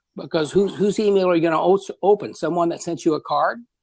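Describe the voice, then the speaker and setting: A man speaks in a high voice against a quiet background. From Kentucky. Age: 60s. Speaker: business owner, manufacturer. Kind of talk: interview. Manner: repetitive false starts, halting.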